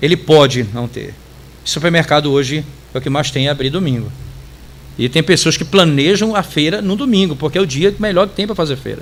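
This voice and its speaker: A man's fairly high, lively voice at a fairly quick pace. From Brazil, interior of Pará (Tucuruí). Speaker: pastor. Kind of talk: Bible study teaching.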